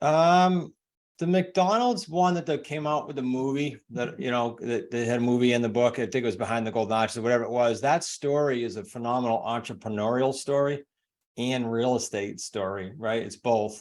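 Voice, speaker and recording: Fairly quick in pace, a man talks at medium pitch. His pitch varies in an ordinary way. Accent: New England. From New England. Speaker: real estate investor and coach. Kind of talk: interview.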